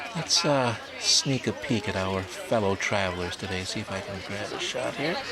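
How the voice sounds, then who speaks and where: A man with an American accent speaks at a moderate pace in a fairly low pitch, his intonation lively, with audible room echo and noticeable background noise. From United States. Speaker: travel videographer. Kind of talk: travel vlog narration. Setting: outdoors in Paris, filming on the move. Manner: casual and chatty.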